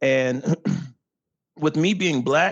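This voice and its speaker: Dry and close with no echo, a man's fairly high voice shows vocal fry and ordinary pitch variation. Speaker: real estate agent. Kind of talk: podcast interview. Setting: podcast. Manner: animated.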